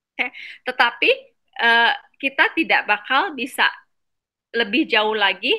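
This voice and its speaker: A woman speaks at a very slow pace with a non-native accent. Her voice is high-pitched, with a bright, sharp tone. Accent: non-native Indonesian. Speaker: medical doctor presenting a book summary. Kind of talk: online reading class presentation. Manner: halting, many fillers.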